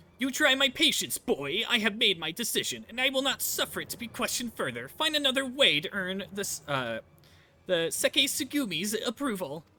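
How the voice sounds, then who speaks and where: A man speaks in a put-on character voice. His pitch is high and his pace is moderate. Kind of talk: haughty, commanding. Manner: imperious, scolding.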